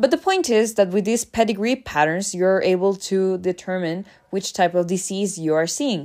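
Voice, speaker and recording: A woman with a Spanish accent talks at a moderate pace and medium pitch, hardly pausing, in a very clean recording with a silent background. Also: ordinary pitch variation. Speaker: educational podcast host. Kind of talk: lecture. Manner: casual with many fillers.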